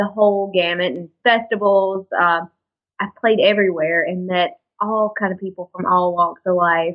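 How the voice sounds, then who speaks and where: This woman talks in a Southern US accent. Her pitch is medium and her pace moderate. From Alabama, US South. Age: 20s. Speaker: country singer. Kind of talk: interview.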